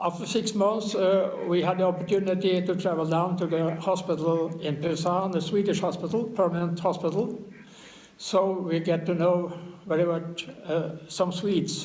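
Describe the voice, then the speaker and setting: A man's high, monotone voice at very even loudness, with audible room echo and noticeable background noise. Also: moderate pace. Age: 80s+. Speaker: war veteran. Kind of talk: interview testimony. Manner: halting, with fillers.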